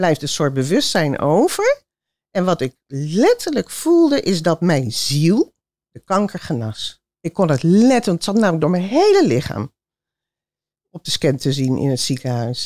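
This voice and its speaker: A woman speaks at a fairly slow pace in a fairly low pitch, her tone dark and mellow. Her pitch swings very widely, and the sound is dry and close with no echo. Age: 60s. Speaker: audience member. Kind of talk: audience question and testimony. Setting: theater with audience.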